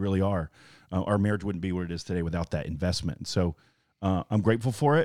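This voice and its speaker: This speaker, with a Southern US accent, talks at a fairly quick pace with ordinary pitch variation in a very clean recording with a silent background and a dry, close sound with no echo. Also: man. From Alabama. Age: 40s. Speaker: pastor. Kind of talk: casual chat.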